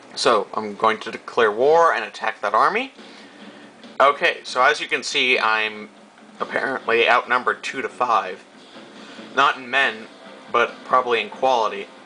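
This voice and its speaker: Over noticeable background noise, a man with an American accent speaks at a moderate pace, leaving long, frequent pauses. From United States. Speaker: video game commentator. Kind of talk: gameplay commentary. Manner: hesitant, many fillers.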